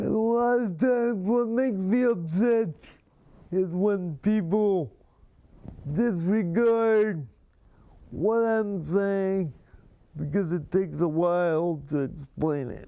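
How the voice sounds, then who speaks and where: A high-pitched man with a dark, mellow tone, very slow and broken by long, frequent pauses, with ordinary pitch variation. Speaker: talk show host. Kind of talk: live talk show monologue. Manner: slow, deliberate speech; harder to understand when excited.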